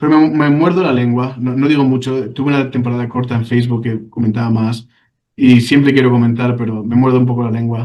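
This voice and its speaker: Talking at a fairly quick pace, a man of medium pitch speaks with a Spanish accent and fairly even intonation. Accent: Spanish (Spain). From Spain. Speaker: ex-church member telling his story. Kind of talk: interview testimony. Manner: halting, with many repetitions.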